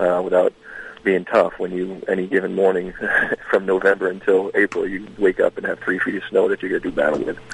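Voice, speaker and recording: The man talks at a fairly quick pace. The sound is dry and close with no echo, though noticeable background noise is present. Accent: American. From Maine, US. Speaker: museum director, retired Marine. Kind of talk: radio interview.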